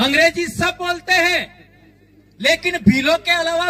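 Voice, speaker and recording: A man with a western Indian accent speaks in a raised, projected voice at an extremely high pitch with ordinary pitch variation. The sound is dry and close with no echo, and there is noticeable background noise. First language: Bhili (speaking Hindi). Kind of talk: public speech. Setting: stage with large audience.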